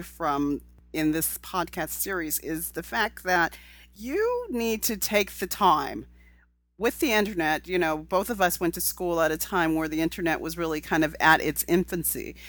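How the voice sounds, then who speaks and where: A woman with an American accent speaks at a moderate pace in a plain, everyday voice. Her pitch is fairly low, with ordinary variation. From California. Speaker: podcast host. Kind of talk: interview.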